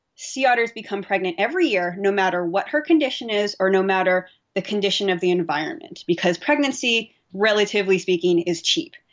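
A woman with an American accent, fairly quick and nearly pause-free, at a medium pitch with lively intonation. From US West Coast, Bay Area, California. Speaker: marine physiologist. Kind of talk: interview.

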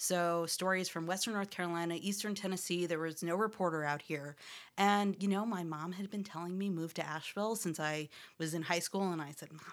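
Fairly quick and fairly even in intonation, a woman with an American accent speaks at a fairly low pitch in a very clean recording with a silent background. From upstate New York. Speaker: radio journalist and podcast producer. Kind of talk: interview conversation.

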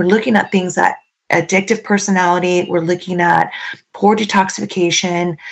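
This woman's pitch sits in the medium range as she talks at a moderate pace. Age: 50s. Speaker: supplement company trainer. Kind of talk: casual chat.

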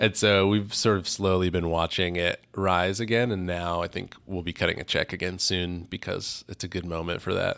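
The man's voice is very deep and low, with monotone, flat intonation at a moderate pace. The recording is very clean, with a silent background. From US West, California. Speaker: activist and artist. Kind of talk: interview. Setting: studio. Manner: halting, many fillers.

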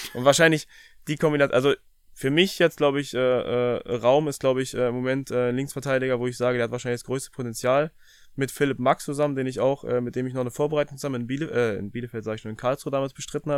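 Very fast talking comes from a man whose intonation stays fairly even. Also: medium pitch for a man. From Brandenburg, eastern Germany. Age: 30s. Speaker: professional footballer. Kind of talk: casual interview. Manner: halting, many fillers.

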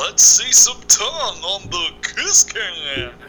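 A man performs in a put-on character voice. He talks at a very slow pace. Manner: hyped-up, playful.

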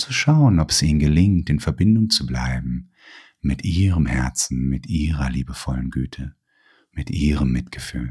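A man speaks in a very deep, low pitch with ordinary pitch variation. His voice is somewhat breathy, with a calm, soothing tone. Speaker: therapist. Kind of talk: guided meditation. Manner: slow, calm, soothing, with long pauses; gentle, soft-spoken.

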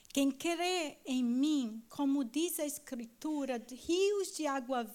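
A woman's high-pitched voice in a Brazilian accent, very slow, with lively intonation and audible room echo. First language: Portuguese (speaking German). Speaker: church member. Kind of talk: reading aloud. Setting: stage with audience.

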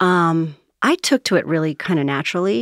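In an ordinary speaking voice, a woman talks at a fairly quick pace and fairly low pitch with ordinary pitch variation, recorded very clean with a silent background and a dry, close sound with no echo. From US, moved around (Navy family), summers in New Jersey. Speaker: author and change management consultant. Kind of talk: casual interview.

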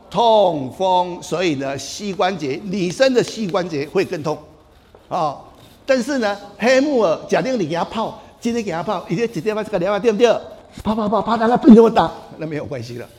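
An animated man's high-pitched voice with lively intonation and audible room echo. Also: moderate pace. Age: 70s. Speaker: traditional Chinese medicine doctor. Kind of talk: health talk.

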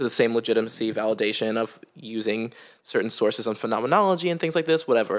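A man with an American accent at a very fast pace, his pitch varying in the ordinary way, on a very clean recording with a silent background. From United States. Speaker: podcast co-host. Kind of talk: casual chat. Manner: animated, playful.

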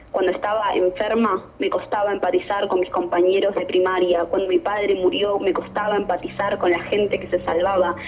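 A woman at a medium pitch, fairly quick with hardly any pauses and fairly even intonation, over noticeable background noise. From Argentina, Buenos Aires southern suburbs (Temperley). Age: young. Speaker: poet and filmmaker. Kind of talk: interview conversation; poetry reading. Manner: fast.

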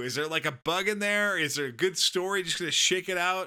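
Using a raised, projected voice that is high-pitched, bright and sharp, a man with an American accent talks at a fairly quick pace with lively intonation. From Southern California. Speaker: podcast co-host. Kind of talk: casual chat.

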